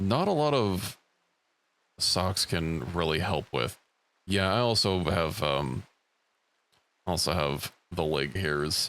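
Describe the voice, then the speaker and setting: A man with a very deep, low pitch and vocal fry speaks very slowly, with long, frequent pauses. His intonation is lively, and his loudness stays very even. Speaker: vtuber streamer. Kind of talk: casual gaming livestream chat. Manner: casual, with many filler words.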